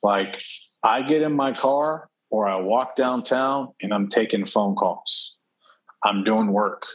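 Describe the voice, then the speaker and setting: Someone with an American accent speaks at a very slow pace with ordinary pitch variation. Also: man, medium pitch for a man, very even loudness. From Texas, Houston. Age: 30s. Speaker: real estate investor. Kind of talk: casual chat.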